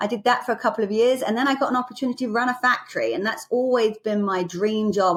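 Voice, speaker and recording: In an English accent, a woman talks very fast at a fairly high pitch with ordinary pitch variation. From England. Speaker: business executive. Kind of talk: podcast interview.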